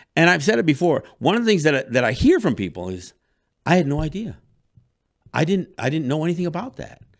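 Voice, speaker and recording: Talking at a very fast pace, a man with a fairly high pitch sounds animated, his pitch swinging very widely. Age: 60s. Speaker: radio talk show host. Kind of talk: monologue. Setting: studio.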